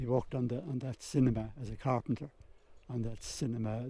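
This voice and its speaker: A man talks at a fairly quick pace in a Waterford accent. His voice has vocal fry. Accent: Irish, Waterford. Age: 80s+. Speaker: local elder sharing family history. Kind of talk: oral history interview. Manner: halting.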